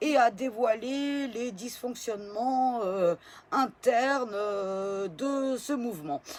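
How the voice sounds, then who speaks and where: A woman speaks very slowly in a high voice with lively intonation. The recording is very clean, with a silent background. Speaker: political video blogger. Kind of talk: casual vlog. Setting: at home in bed. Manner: hesitant, many fillers.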